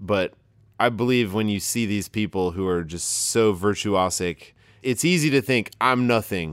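This man speaks at a fairly slow pace in a fairly low pitch with ordinary pitch variation. He has a plain, everyday voice. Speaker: podcast host. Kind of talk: live interview conversation. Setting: live studio audience.

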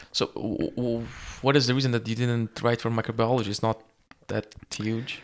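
The speaker is a man with a medium pitch. His intonation stays monotone and flat. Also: moderate pace. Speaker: podcast host and medical student. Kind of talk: casual interview.

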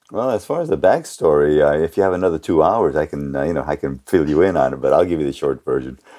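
With a very deep, low pitch and vocal fry, a man races along at a very fast pace with hardly any pauses, his tone dark and mellow and his pitch variation ordinary. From Japan (Kobe), then San Francisco Bay Area from mid-60s. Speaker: sales training company founder. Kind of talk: interview. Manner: many fillers (uh, you know).

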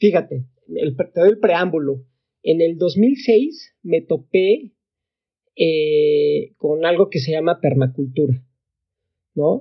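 The pace is very slow, with long, frequent pauses. The intonation is lively. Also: man, high pitch for a man. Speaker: tech entrepreneur. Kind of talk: casual interview.

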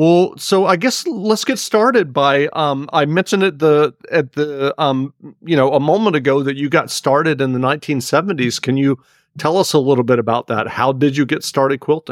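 At a moderate pace, a man has a normal speaking voice pitched fairly high, with very even loudness and dry, close sound with no echo. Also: ordinary pitch variation. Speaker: podcast host. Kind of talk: casual interview.

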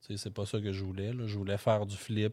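The recording is very clean against a silent background. A man talks at a fairly low pitch. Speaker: real estate investor. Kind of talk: interview. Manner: halting, many fillers.

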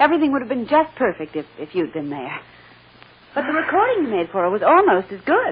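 Putting on a character voice, a woman talks at a fairly quick pace and a fairly high pitch, with big pitch swings and a husky, rough edge.

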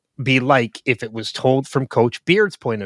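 A man speaks at medium pitch and a moderate pace in an unremarkable speaking voice. The recording is very clean with a silent background, dry and close with no echo. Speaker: podcast host. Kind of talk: casual chat.

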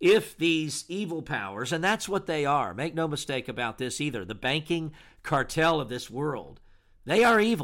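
An American-accented man, fairly high-pitched and lively in intonation, with a bright, sharp tone at a moderate pace, in a very clean recording with a silent background. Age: 60s. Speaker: pastor and radio host. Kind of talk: radio monologue. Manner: formal.

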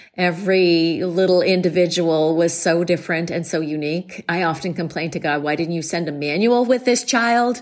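A woman talks at a moderate pace in a fairly low pitch with ordinary pitch variation. Noticeable background noise can be heard. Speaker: relationship coach. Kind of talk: recorded voice message.

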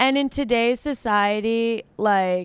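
With an American accent and a normal speaking voice, a woman talks at a fairly slow pace with ordinary pitch variation, her sound dry and close with no echo on a very clean recording with a silent background. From outside Boston. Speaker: podcast co-host. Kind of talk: casual chat.

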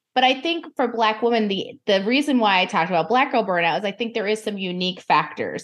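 Against a quiet background, a woman talks very fast with lively intonation, fairly high pitch and hardly any pauses. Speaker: burnout specialist. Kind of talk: casual chat.

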